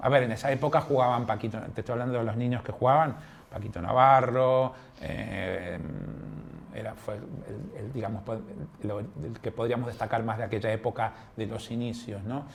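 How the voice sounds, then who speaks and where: Long pauses come often at a moderate pace. Pitch varies in an ordinary way over noticeable background noise. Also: man, medium pitch for a man. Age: 60s. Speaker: padel coach and referee. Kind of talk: interview. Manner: hesitant, many fillers.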